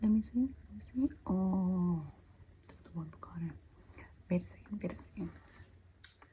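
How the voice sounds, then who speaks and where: This is a woman. She is soft-spoken. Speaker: ASMR roleplay creator. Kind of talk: ASMR roleplay, spiritual guide giving scalp massage.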